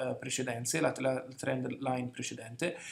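A man talks at a moderate pace. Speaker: market analyst. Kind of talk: market commentary tutorial.

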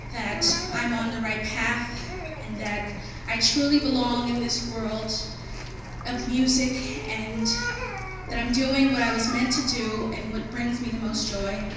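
A woman talks at a fairly slow pace with ordinary pitch variation, strong room echo and noticeable background noise. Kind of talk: acceptance speech. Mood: grateful, emotional. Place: stage.

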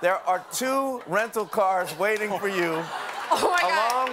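This man keeps a moderate pace despite the loud background noise. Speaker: talk show host. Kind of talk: TV host explanation. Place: studio. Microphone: lapel.

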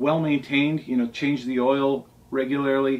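This man speaks at a moderate pace. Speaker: boat owner reviewing books. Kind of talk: casual vlog chat. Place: home room. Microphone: camera far.

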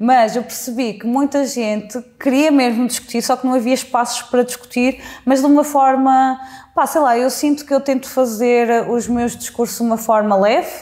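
This woman's voice sits high in pitch, and her intonation stays fairly even. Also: moderate pace. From central Portugal (Mangualde); Portugal. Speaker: social media creator and interviewer; social media creator, interviewer. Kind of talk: interview. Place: home room. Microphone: lapel.

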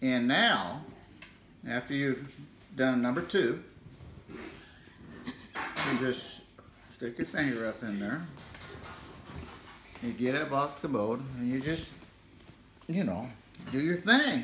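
Talking very slowly with long, frequent pauses, a man with an American accent shows ordinary pitch variation amid audible room echo and music in the background. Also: medium pitch for a man. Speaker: grandfather joking demonstrator. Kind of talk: comedic demonstration to camera. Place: home room. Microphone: phone near.

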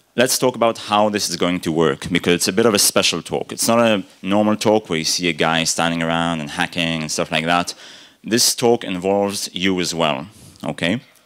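Against a quiet background, a man with a very deep, low voice talks at a fairly quick pace with ordinary pitch variation. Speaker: conference speaker. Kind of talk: conference talk. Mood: humorous, friendly. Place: hall. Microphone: podium.

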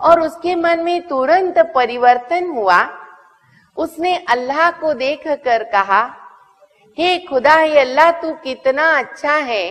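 At a very slow pace, a woman speaks with a high pitch against a quiet background. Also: lively intonation. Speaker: spiritual teacher. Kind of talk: spiritual talk telling a moral story. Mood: warm, expressive storytelling. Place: studio.

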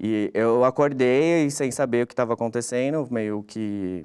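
A man talks against a quiet background. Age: 30s. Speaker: journalist, brother of a crash victim. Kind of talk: testimony. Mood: reflective, recounting personal loss. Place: studio.

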